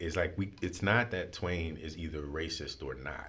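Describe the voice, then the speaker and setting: At a moderate pace, a man speaks with vocal fry in a very deep, low pitch. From New Orleans. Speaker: school head and spoken word poet. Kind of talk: interview answer.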